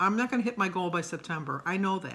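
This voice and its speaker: Fairly quick female voice with a bright, sharp tone, fairly low pitch and ordinary pitch variation. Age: 60s. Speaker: weight-loss vlogger. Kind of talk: personal vlog monologue. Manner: hesitant, frequent fillers.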